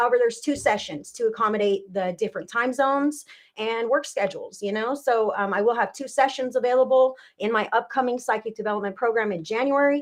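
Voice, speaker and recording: A woman with a Californian accent talks at a very fast pace in a fairly high pitch, with ordinary pitch variation. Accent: Californian American English. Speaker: psychic medium. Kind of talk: live-stream psychic reading and chat. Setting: live video broadcast. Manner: slurs words at times.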